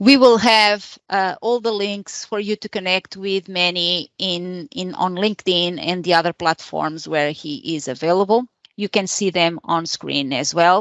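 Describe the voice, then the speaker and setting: The speaker has a non-native accent and talks at a fairly slow pace. The pitch varies in an ordinary way. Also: woman, medium pitch for a woman. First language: not English. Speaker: meetup organizer and host. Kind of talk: event introduction. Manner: hesitant, many fillers.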